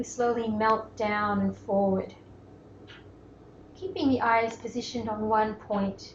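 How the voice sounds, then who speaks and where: Amid noticeable background noise, a woman with an Australian accent speaks at a fairly slow pace and a fairly high pitch. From Melbourne, Australia. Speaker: yoga teacher. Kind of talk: guided yoga class instruction. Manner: calm, gentle.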